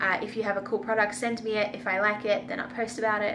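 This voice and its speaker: In an Australian accent, a woman speaks at a fairly high pitch amid noticeable background noise and audible room echo. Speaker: vegan food and travel vlogger. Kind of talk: casual Q&A vlog. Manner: casual, filler-heavy.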